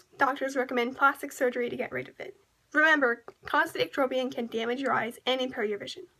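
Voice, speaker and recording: A raised, projected voice with a bright, sharp tone, very fast pace and big swings in loudness. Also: woman. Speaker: presenter. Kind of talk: educational PSA narration. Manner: stammering, with random pauses. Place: home room. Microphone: webcam.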